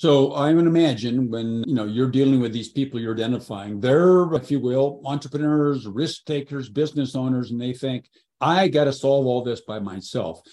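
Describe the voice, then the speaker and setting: A man speaks at a moderate pace with ordinary pitch variation. It is a plain, everyday voice. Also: medium pitch for a man. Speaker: podcast host. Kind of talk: interview intro and questions.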